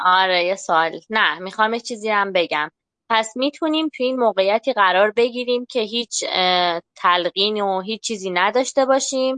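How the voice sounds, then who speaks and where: Against a quiet background, a woman talks at a moderate pace with a fairly high pitch. Her pitch variation is ordinary, and she has an unremarkable speaking voice. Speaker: podcast participant. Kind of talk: group discussion. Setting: online voice chat.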